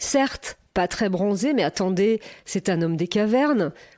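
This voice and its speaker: A woman speaks at medium pitch and a fairly slow pace, with music in the background. Her tone is playful. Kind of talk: podcast narration.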